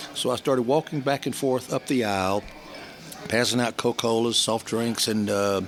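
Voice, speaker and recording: With a Southern US accent, a man talks at a moderate pace in a medium pitch with ordinary pitch variation, noticeable background noise behind him. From US South, Georgia (Columbus/Atlanta). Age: 70s. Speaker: business networker. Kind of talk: interview storytelling.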